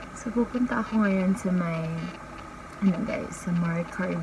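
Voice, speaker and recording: Soft-spoken and fairly slow, the speaker shows ordinary pitch variation against noticeable background noise. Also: woman. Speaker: travel vlogger. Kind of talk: casual vlog talk. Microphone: no external mic, voice quiet.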